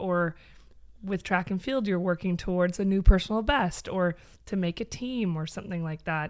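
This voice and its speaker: A woman with a Canadian accent speaks in an unremarkable speaking voice at medium pitch and a moderate pace. Her pitch variation is ordinary, and the recording is very clean with a silent background. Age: 30s. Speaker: former fitness studio owner. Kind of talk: casual chat.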